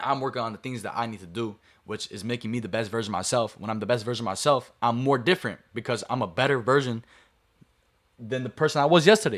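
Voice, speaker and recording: The speech moves at a very fast pace, with ordinary pitch variation and big swings in loudness. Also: man, medium pitch for a man. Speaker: streamer. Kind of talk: motivational talk to stream chat. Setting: live stream to camera.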